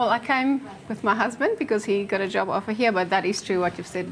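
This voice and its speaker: Noticeable background noise runs under the recording. The woman speaks fairly quickly, her pitch varying in an ordinary way. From South Africa. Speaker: film festival director and pageant winner. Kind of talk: TV interview.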